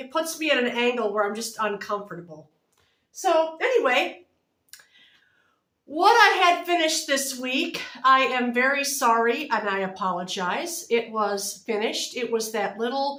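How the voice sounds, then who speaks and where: A woman speaks loudly in a high voice with very wide pitch swings. Room echo can be heard. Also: moderate pace. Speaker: knitting and crochet vlogger. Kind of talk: casual chat. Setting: home video recording, close to camera.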